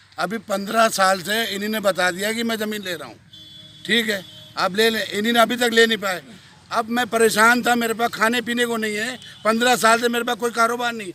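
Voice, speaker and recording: A man with a high pitch speaks in a raised, projected voice at a moderate pace and fairly even intonation, against noticeable background noise. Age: 60s. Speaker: farmer. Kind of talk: news interview.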